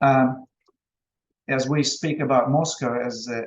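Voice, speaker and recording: With a Russian accent, a man speaks at a medium pitch with fairly even intonation. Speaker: business presenter. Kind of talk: online presentation. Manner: halting.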